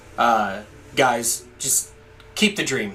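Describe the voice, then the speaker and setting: A man's medium-pitched voice at a very slow pace, with noticeable background noise. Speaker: gaming YouTuber. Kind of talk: gameplay commentary. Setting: home recording setup. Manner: loud.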